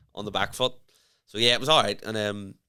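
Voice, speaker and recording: The tone is bright and sharp, the pace fairly quick, and the recording very clean with a silent background. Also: man. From Northern Ireland. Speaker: stand-up comedian. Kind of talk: casual chat.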